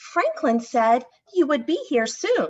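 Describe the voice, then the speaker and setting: The speaker uses a put-on character voice at a fairly slow pace. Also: woman. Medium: read story. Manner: friendly, chatty.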